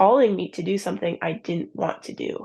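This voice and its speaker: A medium-pitched woman with an Upper Midwest accent, dark and mellow in tone with vocal fry, at a moderate pace with ordinary pitch variation over a quiet background. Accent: Upper Midwest American. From US Midwest, southern Minnesota. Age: 20s. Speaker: ministry founder sharing abortion testimony. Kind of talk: testimony.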